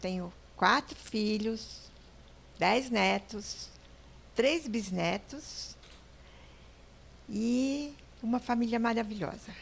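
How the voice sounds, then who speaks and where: Somewhat breathy, a woman speaks at a very slow pace in a medium pitch with ordinary pitch variation. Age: 80s+. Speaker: entrepreneur. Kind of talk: interview. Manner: halting.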